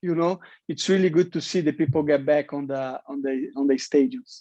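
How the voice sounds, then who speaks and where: Over a quiet background with a dry, close sound and no echo, a man speaks with a non-native accent at a fairly quick pace. His fairly high voice has a dark, mellow tone and ordinary pitch variation. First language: Portuguese. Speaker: professional MMA fighter. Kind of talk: interview. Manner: halting, many repetitions.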